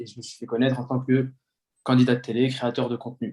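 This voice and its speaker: This man talks at a very fast pace. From Paris region, France (Yvelines). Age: 20s. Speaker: influencer, former police officer. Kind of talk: casual interview chat.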